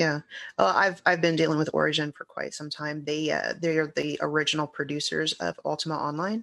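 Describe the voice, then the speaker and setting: Over a quiet background, a woman speaks at a fairly quick pace. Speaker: guest, broadcaster and fan. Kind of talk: casual chat.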